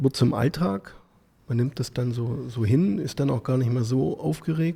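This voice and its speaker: With lively intonation, a man speaks fairly slowly in a somewhat breathy, medium-pitched voice with a dark, mellow tone. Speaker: podcast host. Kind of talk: interview questions.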